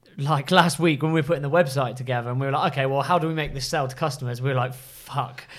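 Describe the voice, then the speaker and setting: Over noticeable background noise, the speech comes at a very fast pace with hardly any pauses and fairly even intonation. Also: man, fairly high pitch for a man. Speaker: podcast co-host, brand entrepreneur. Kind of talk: casual chat.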